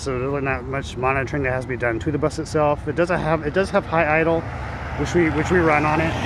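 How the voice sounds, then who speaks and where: Very fast and dry with no echo, a man's speech comes through noticeable background noise. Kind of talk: casual vlog chat. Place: street. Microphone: phone near.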